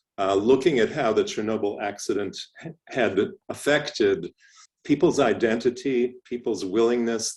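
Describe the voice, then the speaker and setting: A man with an unremarkable speaking voice talks at a medium pitch and a fairly slow pace. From Canada, Toronto. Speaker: professor. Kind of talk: lecture.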